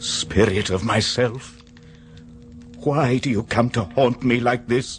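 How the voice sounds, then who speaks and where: Clear music plays behind a man doing a put-on character voice. He keeps a medium pitch and a fairly slow pace. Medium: audio drama. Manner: anguished.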